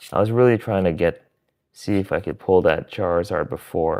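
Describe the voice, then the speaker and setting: This voice has an American accent, ordinary pitch variation and a moderate pace. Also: man. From US Midwest. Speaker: streamer. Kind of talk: live stream card pack opening. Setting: live stream.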